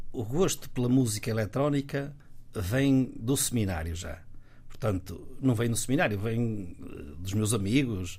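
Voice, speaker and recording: Somewhat breathy and medium in pitch, a man speaks at a fairly slow pace with lively intonation, and audible room echo can be heard. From northern Portugal, Guimarães. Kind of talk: casual interview. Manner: halting, frequent repetitions.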